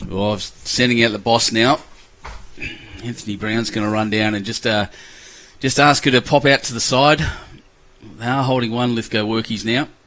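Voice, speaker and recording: A man's medium-pitched voice in an Australian accent, at a moderate pace, with fairly even intonation and long, frequent pauses. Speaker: lawn bowls commentator. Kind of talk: live commentary. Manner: casual, chatty.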